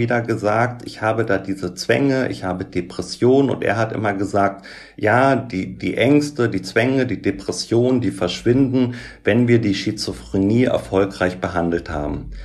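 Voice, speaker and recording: Using vocal fry, a man speaks at a moderate pace and medium pitch with ordinary pitch variation. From Germany, Göttingen (Lower Saxony). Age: 40s. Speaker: social worker and author with OCD. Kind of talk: interview about personal experience.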